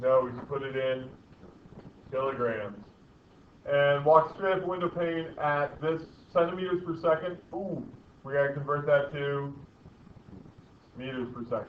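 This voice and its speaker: A man's fairly high voice at a moderate pace, with ordinary pitch variation, long, frequent pauses and audible room echo. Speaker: physics teacher. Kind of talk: lecture.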